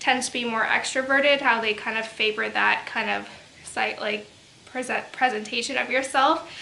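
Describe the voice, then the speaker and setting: A soft-spoken woman with a high voice and fairly even intonation, over noticeable background noise. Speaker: book reviewer. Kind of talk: casual talk to camera.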